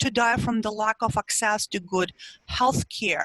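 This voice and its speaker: A woman with a Russian accent, fairly high in pitch, at a fairly slow pace, in a dry, close sound with no echo. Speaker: psychology professor and researcher. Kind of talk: interview.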